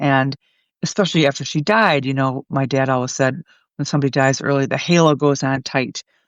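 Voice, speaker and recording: Against a quiet background, a woman with a very deep, low pitch talks at a fairly quick pace, the sound dry and close with no echo. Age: 60s. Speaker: journalist and author. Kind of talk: interview.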